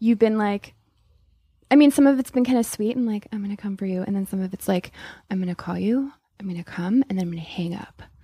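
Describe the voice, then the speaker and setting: A woman with a Canadian accent talks at a very fast pace, with ordinary pitch variation. Her voice is somewhat breathy, with a dark, mellow tone. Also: medium pitch for a woman, big swings in loudness. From Saskatchewan, Canada. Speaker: polyamorous guest. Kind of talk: casual chat. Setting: recorded in person.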